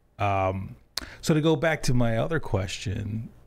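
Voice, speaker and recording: Lively intonation runs through this man's speech. He sounds somewhat breathy. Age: 40s. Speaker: podcast host. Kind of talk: casual interview. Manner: casual, laid-back. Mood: warm, relaxed. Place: studio. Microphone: studio mic.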